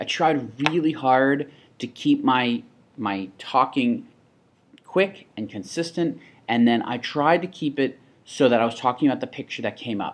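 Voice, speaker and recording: This man talks at a moderate pace in an unremarkable speaking voice. His pitch sits in the medium range and varies in an ordinary way. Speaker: teacher demonstrating software. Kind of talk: tutorial. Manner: casual.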